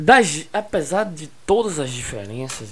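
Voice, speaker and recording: A man's lively intonation is heard above noticeable background noise. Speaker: school geography teacher. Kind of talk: recorded online lesson. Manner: slow.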